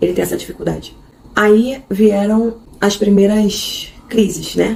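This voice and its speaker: A woman at a fairly slow pace. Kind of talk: casual unscripted vlog talk. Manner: halting, unscripted.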